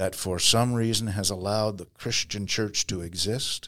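At a moderate pace and with fairly even intonation, a plain, everyday voice comes through on a very clean recording with a silent background. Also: man. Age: 60s. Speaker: pastor and missionary leader. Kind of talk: casual interview.

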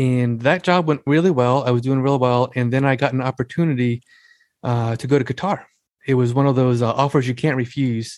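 A man with an ordinary speaking voice and a medium pitch speaks fairly quickly with fairly even intonation. The recording is very clean, with a silent background. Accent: American. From US Northeast, Long Island, New York. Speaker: author and military veteran. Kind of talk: interview conversation.

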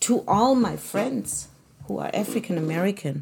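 A woman talks at a moderate pace with vocal fry. Her tone is dark and mellow. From Germany. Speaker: podcast host. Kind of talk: solo monologue.

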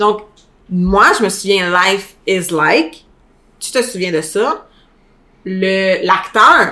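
The woman's voice is medium in pitch, bright and sharp. She sounds animated. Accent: Quebec. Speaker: podcast co-host. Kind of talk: casual chat.

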